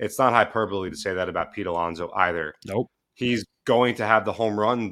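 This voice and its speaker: A man talks at a fairly quick pace, his pitch fairly low with ordinary variation. His tone is bright and sharp. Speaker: podcast producer. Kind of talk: casual chat. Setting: remote call.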